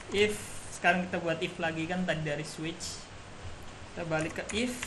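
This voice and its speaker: Soft-spoken and fairly high-pitched, a man uses lively intonation amid noticeable background noise and audible room echo. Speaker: university student. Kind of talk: tutorial. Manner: casual.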